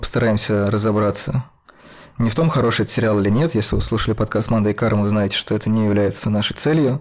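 Amid noticeable background noise, a man talks at a very fast pace and a fairly low pitch, with ordinary pitch variation and very even loudness. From Russia. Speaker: podcast host, film critic. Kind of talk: casual panel discussion.

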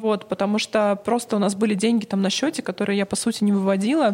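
A woman's fairly high pitch at a very fast pace. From Russia, Novosibirsk. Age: 40s. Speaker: PR agency founder. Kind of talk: interview.

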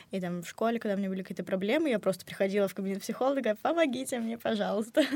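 An unremarkable speaking voice from a woman, fairly high in pitch with ordinary pitch variation, in a very clean recording with a silent background. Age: young. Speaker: university student. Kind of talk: casual chat. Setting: studio.

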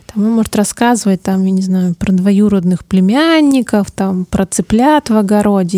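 Dark and mellow in tone, a woman of medium pitch talks at a moderate pace with ordinary pitch variation, in a dry, close sound with no echo. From Siberia, Omsk. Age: 30s. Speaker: social researcher. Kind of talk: interview. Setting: studio.

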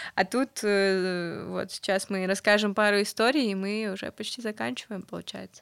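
Over a silent background on a very clean recording, a woman at medium pitch talks at a moderate pace with ordinary pitch variation and big swings in loudness, the sound dry and close with no echo. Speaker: podcast co-host. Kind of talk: casual chat. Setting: studio. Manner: animated.

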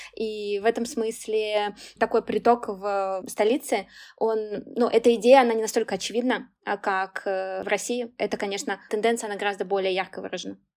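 Speaking at a moderate pace, a woman uses a fairly high pitch and monotone, flat intonation. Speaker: podcast host and career consultant. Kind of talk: interview conversation. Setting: video call.

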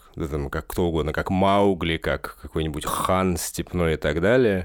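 Speaking at a fairly slow pace, a man has a very deep, low pitch. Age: 30s. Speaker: musician. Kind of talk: casual chat.

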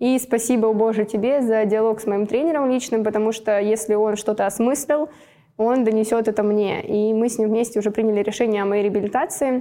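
At a fairly quick pace, a woman talks in a fairly high voice with a dark, mellow tone and fairly even intonation. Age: 20s. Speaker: athlete. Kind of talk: casual chat.

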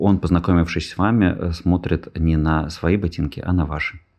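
This man's voice sits very deep and low. He talks at a fairly slow tempo. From Russia, Saint Petersburg. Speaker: podcast host. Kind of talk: casual chat.

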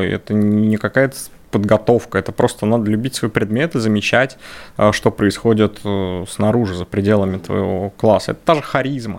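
This man's medium-pitched voice moves at a moderate pace, with ordinary pitch variation. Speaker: math teacher. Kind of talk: casual interview. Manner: loud.

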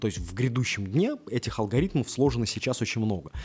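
Speaking at a very fast pace, a man with a medium pitch and a somewhat breathy voice uses lively intonation. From Russia. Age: 30s. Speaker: podcast host. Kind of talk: casual monologue. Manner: halting, with many filler sounds.

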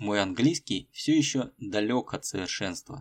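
A man with an unremarkable speaking voice at a medium pitch, lively intonation and a fairly slow pace, in a dry, close sound with no echo and a very clean recording over a silent background. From Russia, Tolyatti. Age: middle-aged. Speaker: podcast host, Russian teacher. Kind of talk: scripted narration for learners. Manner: slow, clear.

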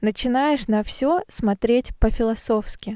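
A woman's high-pitched voice, dark and mellow in tone, at a very slow pace, in a dry, close recording with no echo and a silent, very clean background. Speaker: Russian language teacher podcaster. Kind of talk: scripted narration for language learners. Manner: slow and clear.

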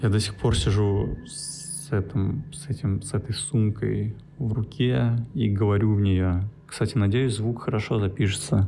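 The voice has a dark, mellow tone, is somewhat breathy, and moves at a very slow pace with ordinary pitch variation. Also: man. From Russia, St. Petersburg. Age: 20s. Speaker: podcaster. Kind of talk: solo monologue. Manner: halting.

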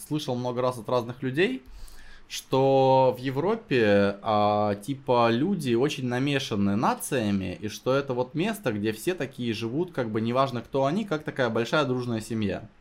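Delivered at a fairly slow pace with lively intonation, the voice sits in a very clean recording against a silent background. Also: man. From Russia, Novosibirsk. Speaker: sales company founder. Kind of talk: casual chat. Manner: animated.

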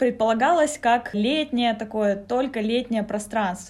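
With ordinary pitch variation, a woman speaks fairly high at a moderate pace. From Sakha (Yakutia), Russia. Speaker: manager of a youth community space. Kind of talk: interview, casual conversation. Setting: on location in a community space.

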